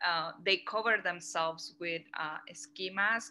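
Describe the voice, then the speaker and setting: Someone with a Mexican accent speaks in a bright, sharp tone with ordinary pitch variation. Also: woman. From Mexico. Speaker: curator. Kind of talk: lecture Q&A. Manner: hesitant, many fillers.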